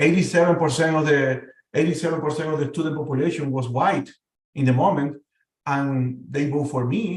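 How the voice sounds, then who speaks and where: In a room with audible echo, a man talks at a fairly quick pace with a fairly high pitch, fairly even intonation, and long, frequent pauses. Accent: Spanish. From Venezuela. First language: Spanish. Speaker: panel guest. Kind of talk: casual discussion. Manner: halting, many repetitions.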